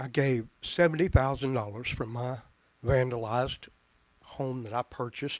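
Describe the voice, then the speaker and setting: A man at medium pitch with a Tennessee accent, fairly even intonation, a moderate pace and big swings in loudness. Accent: Southern US (Tennessee). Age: 60s. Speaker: retired pastor speaking at public comment. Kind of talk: public comment at county meeting. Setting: public meeting hall. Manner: halting, with repeated stumbles.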